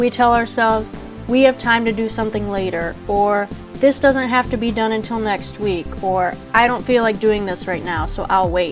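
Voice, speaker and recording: A voice at a moderate pace with fairly even intonation, over music in the background. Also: woman, fairly high pitch for a woman. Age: 20s. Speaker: entrepreneur. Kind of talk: motivational podcast talk.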